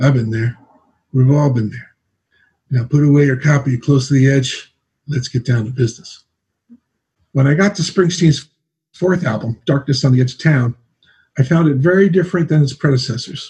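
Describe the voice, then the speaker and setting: A man with an American accent and a fairly high pitch speaks at a moderate pace in a somewhat breathy, dark, mellow tone, with ordinary pitch variation and long, frequent pauses. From New Jersey. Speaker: singer-songwriter. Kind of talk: reading aloud.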